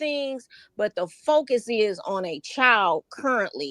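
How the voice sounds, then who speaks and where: A woman with an American accent, high pitch, very wide pitch swings and a bright, sharp tone at a fairly slow pace, in a dry, close sound with no echo. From Detroit East Side. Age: 50s. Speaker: livestream guest. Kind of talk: discussion.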